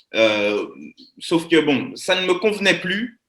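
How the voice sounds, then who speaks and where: A man speaks at a very slow pace with very wide pitch swings. His tone is bright and sharp. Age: 20s. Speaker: network marketing presenter. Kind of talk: live webinar presentation. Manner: animated.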